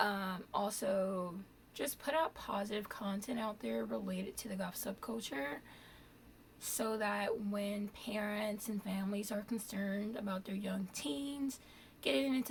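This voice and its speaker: This woman has a normal speaking voice at medium pitch, talking at a fairly slow pace with ordinary pitch variation. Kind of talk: casual vlog talk.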